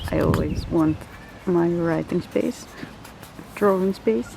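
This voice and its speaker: Against noticeable background noise, a woman in a Dutch accent talks at a fairly slow pace with a fairly low pitch. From Netherlands. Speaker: art journaling vlogger. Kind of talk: casual vlog. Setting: outdoors in a park. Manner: rambling.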